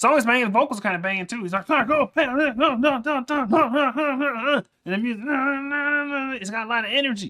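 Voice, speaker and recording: Very fast and with hardly any pauses, a man speaks at an extremely high pitch with ordinary pitch variation. His raised, projected voice has a bright, sharp tone. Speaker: music reaction streamer. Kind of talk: casual reaction commentary. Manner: loud and fast when hyped.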